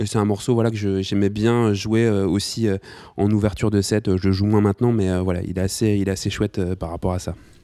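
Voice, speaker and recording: Recorded very cleanly against a silent background, a man talks at a fairly quick pace in a fairly low pitch with a monotone, flat intonation. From Nantes, western France. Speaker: DJ and collective co-founder. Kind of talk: casual interview chat. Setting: at his home. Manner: hesitant, many repetitions.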